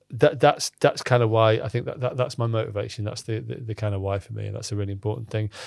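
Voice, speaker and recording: Talking very fast with hardly any pauses, a man speaks in a Cumbrian accent at a medium pitch. His intonation is fairly even, and the recording is very clean with a silent background. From northern England, Cumbria (Lake District). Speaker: startup founder and CEO. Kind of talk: casual interview conversation. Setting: studio. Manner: halting, many repetitions and fillers.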